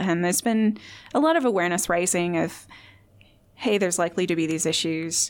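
A woman at a moderate pace, with a Midwestern accent. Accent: American Midwestern. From US Midwest, Indiana. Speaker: clinical psychology academic. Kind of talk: interview. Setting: studio.

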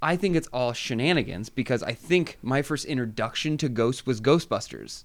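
In a very clean recording with a silent background, a man with an unremarkable speaking voice talks at medium pitch and a moderate pace, with ordinary pitch variation and hardly any pauses. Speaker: podcaster. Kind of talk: casual chat. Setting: studio.

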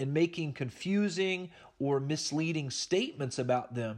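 Against a quiet background, a man with a fairly high pitch uses an ordinary speaking voice. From Oklahoma. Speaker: Bible teacher. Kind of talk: Bible study lecture.

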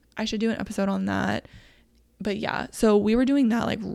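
A woman speaking at a fairly quick pace, animated in tone, with a dry, close sound and no echo. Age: 30s. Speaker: podcast host and small business owner. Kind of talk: casual solo monologue.

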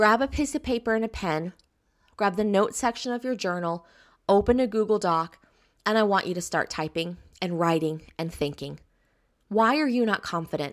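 A woman's medium-pitched voice with an American accent, lively intonation, a moderate pace and long, frequent pauses, on a very clean recording with a silent background. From US South. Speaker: business coach. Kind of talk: recorded course lesson. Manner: enthusiastic.

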